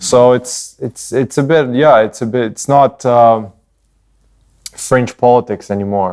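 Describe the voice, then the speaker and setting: With an unremarkable speaking voice, a man talks at medium pitch and a fairly slow pace, his intonation fairly even. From Canada, Ukrainian-born. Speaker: podcast co-host. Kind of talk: casual chat.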